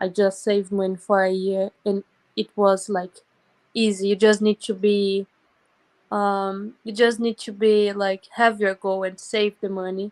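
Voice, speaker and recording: Speaking at a fairly slow pace with a Brazilian Portuguese accent, a woman keeps a medium pitch and a monotone, flat intonation, recorded dry and close with no echo. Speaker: volunteer abroad. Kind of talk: casual interview.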